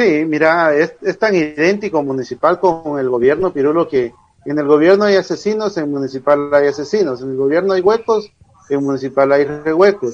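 Fairly high-pitched male speech in a plain, everyday voice, ordinary pitch variation at a moderate pace. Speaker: football pundit. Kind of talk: casual chat.

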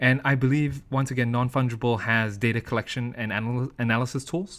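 On a very clean recording with a silent background, a man with an American accent speaks at a fairly quick pace. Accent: American-sounding English. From UK-born, US-educated, lives in Asia. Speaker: crypto and NFT project founder. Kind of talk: podcast interview. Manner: frequent fillers and repetitions.

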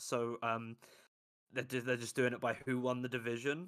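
On a very clean recording with a silent background, a man with a London accent speaks at a moderate pace in a medium pitch with a bright, sharp tone. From London, England. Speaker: football analyst. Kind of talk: casual chat.

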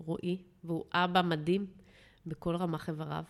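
In a very clean recording with a silent background, the words unfold fairly slowly. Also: woman. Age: 40s. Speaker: marketing executive sharing her relationship story. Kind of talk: interview.

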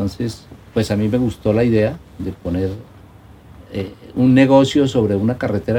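A man speaks at a moderate pace. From Colombia, La Mesa (Cundinamarca). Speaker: nature park owner and entrepreneur. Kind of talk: casual interview. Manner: halting, many repetitions and fillers.

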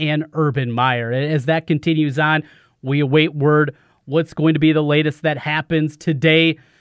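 With an unremarkable speaking voice, a man talks at a moderate pace and fairly high pitch, keeping his intonation fairly even. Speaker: sports radio host. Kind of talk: casual sports talk radio. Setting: radio studio.

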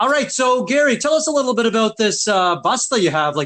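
Over a quiet background, a man with a Maritime Canadian accent talks at a fairly quick pace in a bright, sharp tone, his pitch swinging very widely. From Nova Scotia, Canada. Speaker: podcast host. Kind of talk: scripted intro and casual interview.

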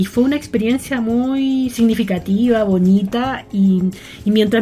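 Fairly even intonation comes from a woman, heard through noticeable background noise. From Chile, rural Melipilla. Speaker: entrepreneur and yoga teacher. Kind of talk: interview conversation.

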